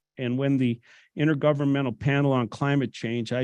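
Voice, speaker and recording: With monotone, flat intonation, a man speaks at a moderate pace. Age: 60s. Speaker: public commenter, retired business owner. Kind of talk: public comment reading prepared statement. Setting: public hearing room.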